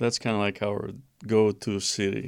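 A man with a Romanian accent speaks at a fairly slow pace in a fairly low pitch, on a very clean recording with a silent background. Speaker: seminary professor. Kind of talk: interview.

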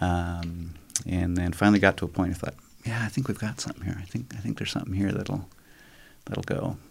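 Somewhat breathy and at a very fast pace, the speaker uses an American accent with ordinary pitch variation. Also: man, very deep, low pitch for a man. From Brazil, Amazon region (American missionary kid). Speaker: business co-founder, former science teacher. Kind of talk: interview.

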